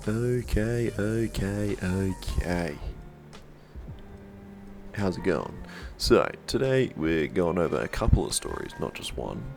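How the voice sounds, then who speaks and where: Over music in the background, a man with a fairly low pitch speaks very slowly, using long, frequent pauses and very wide pitch swings. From Australia. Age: 20s. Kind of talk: casual storytime to camera.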